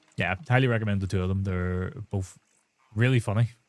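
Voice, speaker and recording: In a Northern Irish accent, this voice moves at a fairly quick pace with fairly even intonation. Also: man. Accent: Northern Irish (Belfast). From Northern Ireland, Belfast. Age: 30s. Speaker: gaming streamer. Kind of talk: live stream chat while gaming.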